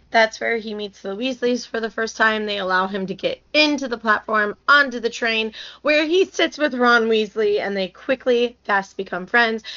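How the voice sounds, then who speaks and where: A woman has an ordinary speaking voice with a fairly high pitch and ordinary pitch variation. She talks at a moderate pace with hardly any pauses. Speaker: podcast host. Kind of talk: casual chat.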